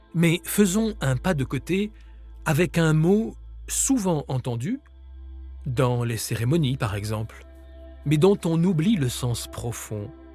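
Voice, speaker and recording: Music plays behind a man who speaks very slowly, with long, frequent pauses. His medium-pitched voice carries a calm tone yet moves in very wide pitch swings. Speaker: author and grief-support guide. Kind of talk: guided meditation and grief-support podcast. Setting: studio recording with nature sounds and soft music. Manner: calm, slow, soft-spoken.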